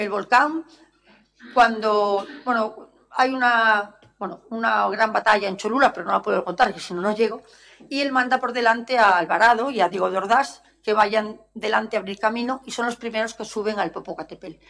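Pitch variation is ordinary and the tone is bright and sharp. Delivery comes at a moderate pace. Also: woman. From Galicia, Spain (Ferrol); Galicia, Spain. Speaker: historian and art curator; lecturer. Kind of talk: lecture. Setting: lecture hall with audience. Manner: animated. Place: hall.

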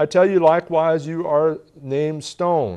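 At a fairly slow pace, a man talks in a dark, mellow tone with a fairly high pitch.

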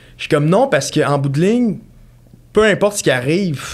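With a Quebec accent, a man talks at a very fast pace with ordinary pitch variation. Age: 20s. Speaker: mortgage broker; podcast guest. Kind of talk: casual chat. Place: studio. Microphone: studio mic.

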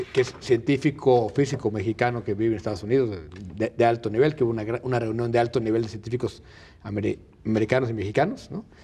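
This very fast voice sounds somewhat breathy, with a dark, mellow tone. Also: man. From Mexico. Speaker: journalist commentator; TV panelist. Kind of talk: panel debate. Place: studio. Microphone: lapel.

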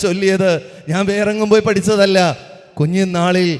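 A man speaks in a high voice. His pitch variation is ordinary. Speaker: public speaker. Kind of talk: speech. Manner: animated.

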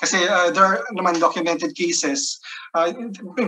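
Here is a man's voice. It is raised and projected. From Philippines. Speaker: economist, research fellow; webinar presenter, panelist. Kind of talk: webinar presentation. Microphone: video call.

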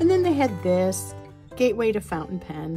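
Clear music sounds in the background. Over it, a woman talks at a moderate pace. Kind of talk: casual show-and-tell haul vlog. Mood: relaxed, enthusiastic. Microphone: phone near.

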